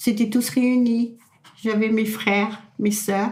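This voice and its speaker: A woman's somewhat breathy, fairly high voice, very slow and monotone with flat intonation. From France, Loire-Atlantique (Pays de Retz). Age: 80s+. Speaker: elderly local resident. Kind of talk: oral history interview. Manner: halting, repetitive.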